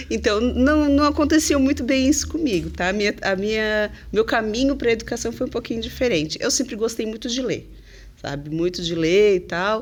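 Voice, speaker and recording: Lively intonation and vocal fry mark this woman's fairly high voice as she speaks at a moderate pace. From southern Brazil, Santa Catarina (Criciúma). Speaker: English teacher. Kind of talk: podcast interview. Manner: chatty, many fillers.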